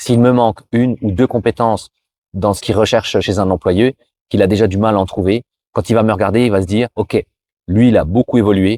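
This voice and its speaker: A man speaks at a fairly low pitch with a dark, mellow tone and fairly even intonation. The sound is dry and close with no echo, on a very clean recording with a silent background. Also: fairly quick pace. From France. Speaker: YouTuber, cross-border worker giving career advice. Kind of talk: advice vlog. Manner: casual, with many hesitations.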